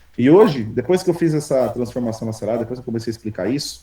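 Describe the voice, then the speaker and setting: Pitch leaps up and down dramatically. The voice has a dark, mellow tone. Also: man. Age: 30s. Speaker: programmer and entrepreneur teaching an AI workshop. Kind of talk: live online workshop presentation. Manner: casual, energetic with repetitions.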